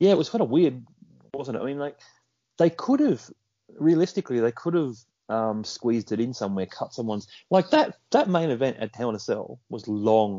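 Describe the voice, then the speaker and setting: With an Australian accent, a man at medium pitch talks at a fairly quick pace with lively intonation. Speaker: podcast co-host. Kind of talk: casual chat.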